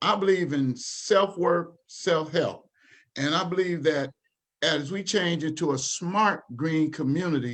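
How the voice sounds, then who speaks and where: A plain, everyday voice from a man with an American accent, fairly high in pitch and fairly slow in pace, with ordinary pitch variation. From Dayton, Ohio, US Midwest. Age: 60s. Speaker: community organization leader. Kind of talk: panel presentation at online town hall. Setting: livestreamed town hall.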